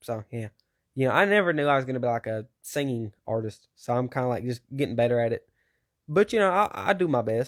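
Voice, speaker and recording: A man speaks at medium pitch with lively intonation. The sound is dry and close, with no echo. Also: fairly quick pace, very clean recording, silent background. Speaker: musician. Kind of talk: interview. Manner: halting; casual.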